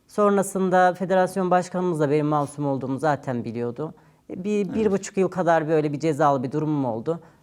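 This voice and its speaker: A woman's very deep, low voice, fairly quick with hardly any pauses and lively intonation. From Turkey, Ankara. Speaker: retired Olympic weightlifter. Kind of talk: interview. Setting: studio.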